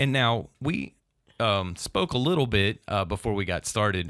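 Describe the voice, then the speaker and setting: A man with an unremarkable speaking voice, fairly low in pitch and with ordinary pitch variation, is heard on a very clean recording against a silent background. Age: 30s. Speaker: city government podcast host. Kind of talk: casual interview. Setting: studio at city hall.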